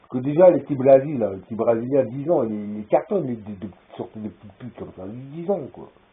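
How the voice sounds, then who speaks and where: A man's medium-pitched voice with lively intonation, big jumps in loudness and a fairly quick pace. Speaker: vlogger. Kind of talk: rambling video monologue. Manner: halting.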